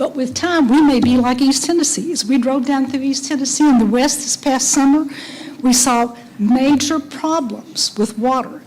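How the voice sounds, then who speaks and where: A woman with a high pitch speaks at a moderate pace and fairly even intonation. Noticeable background noise can be heard. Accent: American. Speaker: resident speaking at public hearing. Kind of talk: public comment. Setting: public meeting, at microphone. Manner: soft-spoken; halting.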